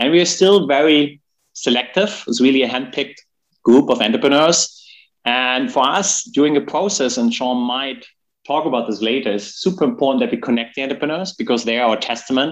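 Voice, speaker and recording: This man talks at a fairly quick pace with a German accent, lively intonation and a fairly high pitch. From Germany. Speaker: gaming company executive. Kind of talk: interview.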